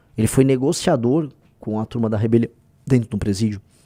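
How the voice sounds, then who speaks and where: The speaker is a man. His tone is dark and mellow. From Brazil, São Paulo. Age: 40s. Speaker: political party leader and candidate. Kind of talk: live stream commentary. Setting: live stream. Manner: fast; informal.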